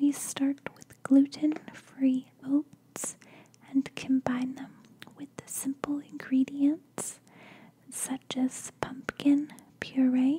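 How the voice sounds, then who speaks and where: Soft-spoken and gentle in tone, a woman talks at a very slow pace in a high, monotone voice with flat intonation over light background noise. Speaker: lifestyle vlogger. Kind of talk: casual vlog chat. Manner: soft-spoken, gentle close-mic reading. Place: home room. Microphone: studio mic.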